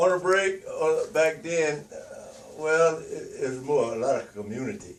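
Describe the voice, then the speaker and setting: Speaking slowly in a Louisiana accent, a man lets his loudness rise and fall sharply. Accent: Louisiana Southern US. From US South, northern Louisiana. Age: 80s+. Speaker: elderly interviewee. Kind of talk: oral history interview. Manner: halting, many fillers.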